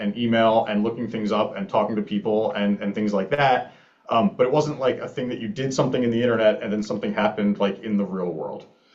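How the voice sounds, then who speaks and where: Talking at a very fast pace with hardly any pauses, a man with an American accent speaks at medium pitch over noticeable background noise. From Philadelphia suburbs, Pennsylvania. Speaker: startup founder. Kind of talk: conference talk. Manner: casual, many fillers.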